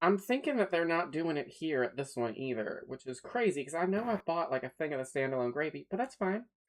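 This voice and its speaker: A fairly quick pace with a slight Southern US accent. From US South. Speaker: streamer. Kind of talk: casual chat. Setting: livestream from a new, not yet set up studio.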